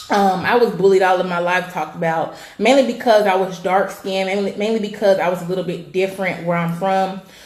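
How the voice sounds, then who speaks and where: A woman with an American accent speaks at a very fast pace in an animated tone, with hardly any pauses. Noticeable background noise and audible room echo fill the recording. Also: medium pitch for a woman. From California. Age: 20s. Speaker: weight loss coach and vlogger. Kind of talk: personal testimony vlog.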